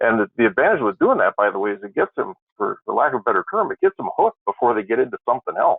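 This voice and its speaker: A man speaks with an Upper Midwest accent. He talks at a very fast pace. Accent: northern Upper Midwest. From Wisconsin. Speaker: trucking regulatory expert. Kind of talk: webinar discussion. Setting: webinar. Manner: halting, many repeated words.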